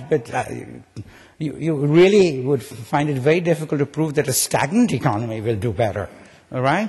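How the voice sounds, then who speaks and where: A man speaks at a fairly quick pace with a fairly high pitch, lively intonation and a somewhat breathy sound over a quiet background. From India. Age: 70s. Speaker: economics professor. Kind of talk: keynote speech. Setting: conference stage with audience. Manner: conversational, frequent fillers and repetitions.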